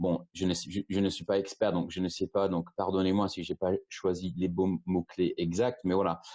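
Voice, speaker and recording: In a British accent, a man with a very deep, low pitch and a dark, mellow tone speaks at a moderate pace with monotone, flat intonation, the sound dry and close with no echo. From Britain. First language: English (speaking French). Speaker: e-commerce agency founder. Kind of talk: webinar presentation. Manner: halting, many repetitions and fillers.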